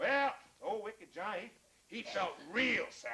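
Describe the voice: Ordinary pitch variation in plain reading aloud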